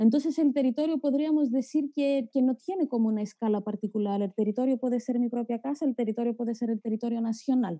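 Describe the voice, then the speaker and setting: A woman speaks in a Greek accent at a very fast pace with hardly any pauses, using a high pitch and ordinary pitch variation. Her tone is dark and mellow, and the sound is dry and close with no echo. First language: Greek (speaking Spanish). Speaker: geographer, academic. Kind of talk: panel discussion talk. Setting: video call. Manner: halting.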